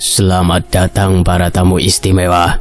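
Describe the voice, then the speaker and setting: A man puts on a raspy character voice with a very deep, low pitch and flat, monotone intonation. He talks at a moderate pace while clear music plays in the background. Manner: menacing.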